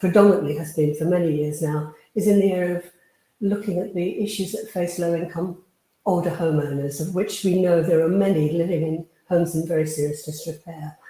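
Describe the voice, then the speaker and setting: A woman's dark, mellow, somewhat breathy voice with a British accent. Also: fairly quick pace. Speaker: housing charity leader. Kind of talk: conference presentation.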